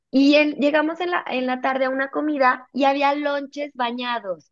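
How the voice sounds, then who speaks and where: A woman at a fairly slow pace. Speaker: nutritionist. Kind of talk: interview conversation.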